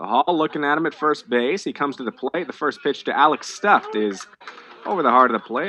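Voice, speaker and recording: Lively in intonation and fairly quick in pace, the speech comes with noticeable background noise. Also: man. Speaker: radio play-by-play baseball announcer. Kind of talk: live radio baseball play-by-play call.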